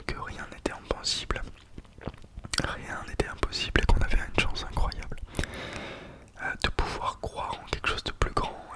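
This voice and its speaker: A man whispering, with long, frequent pauses and noticeable background noise. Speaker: ASMR creator. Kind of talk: ASMR whispered talk to camera. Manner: whispered, soft, calming.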